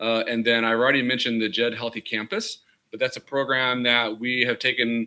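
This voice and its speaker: This man talks at a fairly quick pace with a medium pitch. His tone is bright and sharp. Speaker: university student services administrator. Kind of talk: presentation at committee hearing. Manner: fast.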